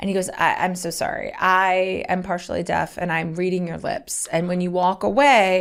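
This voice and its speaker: With an ordinary speaking voice, a woman talks at a moderate pace and medium pitch, her intonation fairly even and hardly any pauses. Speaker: comedian and podcast co-host. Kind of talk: casual chat. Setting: studio.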